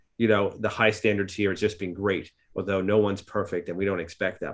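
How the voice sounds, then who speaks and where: A man talks very fast in a New York accent. His pitch is fairly low. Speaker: psychologist and practice owner. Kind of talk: podcast discussion.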